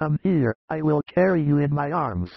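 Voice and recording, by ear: Using a put-on character voice with vocal fry, a man speaks at a moderate pace with lively intonation in a dry, close sound with no echo. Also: fairly high pitch for a man.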